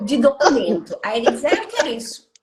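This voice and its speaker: A woman speaks at a fairly slow pace. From Brazil. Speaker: psychologist and job market consultant. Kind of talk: live interview. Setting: Instagram live stream. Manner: animated.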